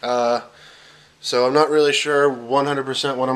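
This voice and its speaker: Over noticeable background noise, a man speaks at a medium pitch and moderate pace with monotone, flat intonation. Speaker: fitness vlogger. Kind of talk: casual vlog. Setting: in a car. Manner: hesitant, many fillers.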